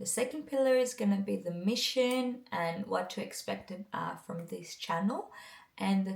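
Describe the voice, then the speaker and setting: Speaking with a non-native accent, a woman keeps a medium pitch and ordinary pitch variation. She goes at a moderate pace. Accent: non-native English, still learning. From Greece. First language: Greek. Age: 20s. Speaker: mindset coach, vlogger. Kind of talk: casual vlog talk to camera.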